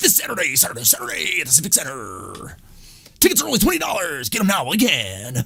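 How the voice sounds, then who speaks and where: A man puts on a character voice, pitched fairly high and swinging very widely in pitch. He talks at a very fast pace. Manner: loud, very fast, hyped up.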